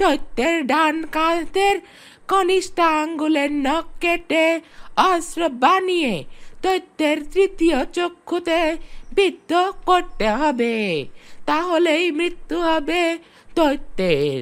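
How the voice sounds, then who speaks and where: An extremely high-pitched, cartoonish character voice is heard. It moves at a very slow pace. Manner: slow, bargaining.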